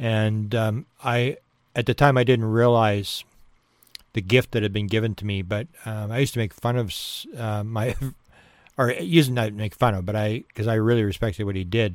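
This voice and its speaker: On a very clean recording with a silent background, a man with a Canadian accent speaks at a fairly low pitch with fairly even intonation. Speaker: podcast host, UFO researcher. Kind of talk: casual monologue. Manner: fast.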